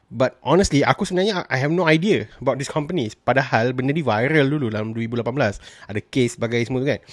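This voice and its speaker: This man talks at a very fast pace with hardly any pauses, his medium-pitched voice carrying lively intonation. The sound is dry with no echo against a quiet background. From Malaysia. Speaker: film and TV reviewer; TV reviewer. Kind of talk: solo review vlog. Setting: solo recording, audio only. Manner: casual with frequent fillers and code-switching. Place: home room. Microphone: studio mic.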